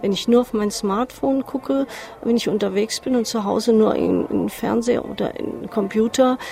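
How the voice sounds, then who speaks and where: With music in the background, a woman with a fairly high pitch speaks at a moderate pace and ordinary pitch variation. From Hesse, Marburg. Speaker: urban planner, workshop moderator. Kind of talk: interview.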